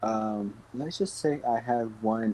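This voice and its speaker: Fairly even intonation marks a man's fairly low-pitched voice. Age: 20s. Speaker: podcast co-host. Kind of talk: casual chat.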